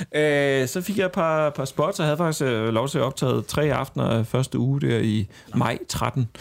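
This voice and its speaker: In a plain, everyday voice, a man speaks at a fairly slow pace and a fairly high pitch, with ordinary pitch variation and very even loudness. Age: 30s. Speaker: comedian. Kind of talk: casual chat.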